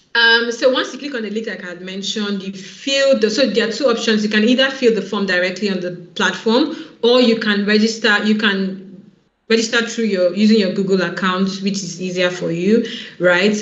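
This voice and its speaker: Speaking at a fairly quick pace, a woman with a fairly high pitch and ordinary pitch variation is heard amid audible room echo. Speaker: online event organizer. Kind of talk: online info session presentation. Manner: fast; animated.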